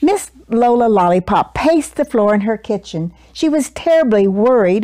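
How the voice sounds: The intonation rises and falls in a lively way in this natural reading voice.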